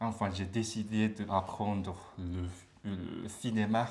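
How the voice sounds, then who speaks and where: A man with a fairly low pitch speaks at a very slow pace and fairly even intonation, with audible room echo. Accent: Japanese. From Japan, Beppu (Kyushu). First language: Japanese (speaking French). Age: 30s. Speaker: language student. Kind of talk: interview. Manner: halting.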